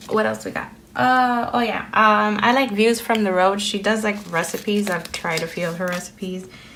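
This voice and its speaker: A woman's medium-pitched voice in a Spanish accent, at a moderate pace with hardly any pauses, ordinary pitch variation, and audible room echo. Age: 30s. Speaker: planner vlogger. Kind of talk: casual chat. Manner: hesitant with fillers.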